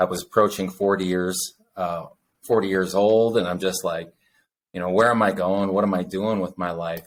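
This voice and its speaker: In a very deep, low pitch, a man talks at a moderate pace with monotone, flat intonation on a very clean recording with a silent background. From US West (born in Utah). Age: 40s. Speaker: podcast co-host. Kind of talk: casual chat. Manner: halting, many fillers.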